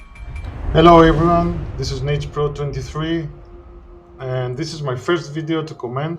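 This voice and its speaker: A man with a Greek accent speaks at a fairly slow pace, his loudness swinging widely. Audible room echo and noticeable background noise fill the recording. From Greece. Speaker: gaming commentator. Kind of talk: gameplay commentary. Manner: halting, many fillers.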